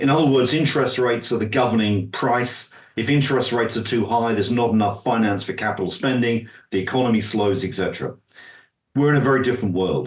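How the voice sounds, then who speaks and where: His speech comes very fast. The man's intonation is fairly even. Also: medium pitch for a man. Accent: British. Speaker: finance expert and author. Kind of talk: interview.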